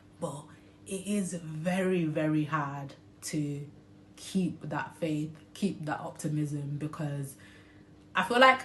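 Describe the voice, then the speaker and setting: A somewhat breathy woman with a very deep, low pitch speaks very slowly and with fairly even intonation, and room echo is audible. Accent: British. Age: 20s. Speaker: vlogger sharing personal health story. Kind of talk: personal testimony vlog. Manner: hesitant, frequent um fillers.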